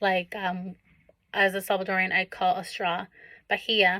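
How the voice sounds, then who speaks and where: Bright, sharp tone with vocal fry at a moderate pace. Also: woman. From Los Angeles, Koreatown, Salvadoran family. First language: Spanish. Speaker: college student. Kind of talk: class assignment video presentation. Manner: reading from notes with frequent fillers.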